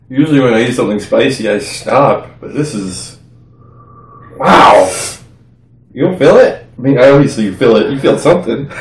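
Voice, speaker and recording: With audible room echo, a man talks at a moderate pace with ordinary pitch variation and long, frequent pauses. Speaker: co-host of a spicy food challenge. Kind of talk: casual vlog chat. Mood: dazed, in pain, laughing. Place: home room. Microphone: camera far.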